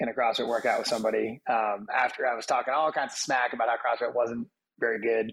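A man at medium pitch speaks with fairly even intonation in an unremarkable speaking voice. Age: 30s. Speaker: gym owner and army veteran. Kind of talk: casual chat.

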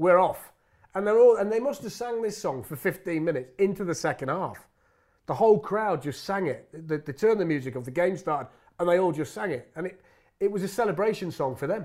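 Heard in a very clean recording with a silent background, a man speaks in an East Midlands accent. His pitch is high and his intonation lively. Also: fairly quick pace. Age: 40s. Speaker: football commentator. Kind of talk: casual interview.

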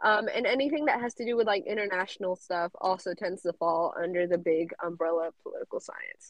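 An ordinary speaking voice with an American accent moves at a fairly quick pace with hardly any pauses. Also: woman, medium pitch for a woman, ordinary pitch variation. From South Carolina. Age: young. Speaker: college student. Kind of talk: interview.

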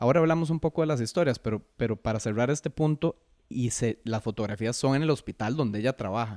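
Very fast speech with ordinary pitch variation on a very clean recording over a silent background. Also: man, medium pitch for a man. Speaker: photographer and author. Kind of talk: interview conversation.

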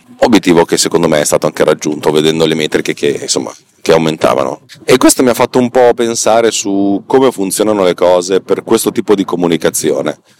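Talking at a very fast pace, a man sounds dry and close with no echo, over noticeable background noise. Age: 40s. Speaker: podcast host. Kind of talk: monologue. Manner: halting.

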